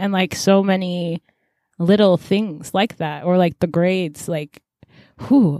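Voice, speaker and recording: A woman's medium-pitched, plain, everyday voice at a moderate pace, dry and close with no echo, on a very clean recording with a silent background. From US-born, immigrant family. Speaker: podcast co-host. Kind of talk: casual chat.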